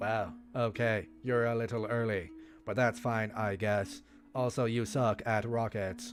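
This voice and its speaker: Over clear music in the background, a robotic, put-on character voice speaks at a fairly slow pace. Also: man, medium pitch for a man. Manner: sarcastic, teasing.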